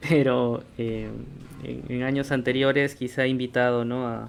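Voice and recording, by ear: Vocal fry runs through a man's fairly slow delivery, which has little pitch movement. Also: medium pitch for a man.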